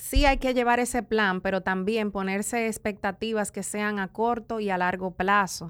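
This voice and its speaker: In a very clean recording with a silent background, a woman with a Dominican accent speaks with fairly even intonation and hardly any pauses. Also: medium pitch for a woman, moderate pace. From Dominican Republic, east (La Romana, San Pedro de Macorís). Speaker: entrepreneur, hair care brand owner. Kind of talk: interview.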